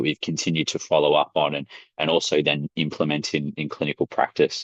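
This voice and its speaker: Recorded dry and close with no echo, a man speaks with an Australian accent. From Australia, Melbourne. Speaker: sports science academic. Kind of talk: webinar presentation. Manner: hesitant, many fillers.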